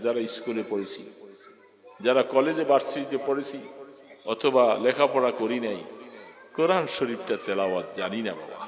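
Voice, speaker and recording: Crowd noise fills the background as a man talks at a medium pitch. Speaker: Islamic preacher. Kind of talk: religious sermon.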